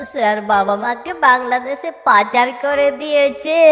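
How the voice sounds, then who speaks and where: A high-pitched, female-sounding cartoonish character voice at a very slow pace, with clear music in the background. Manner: timid, respectful.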